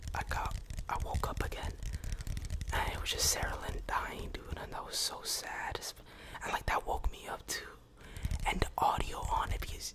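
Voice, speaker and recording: A man whispers at a moderate pace. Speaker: ASMR creator. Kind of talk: ASMR whisper ramble. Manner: whispered; casual, relaxed. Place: home room. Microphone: studio mic.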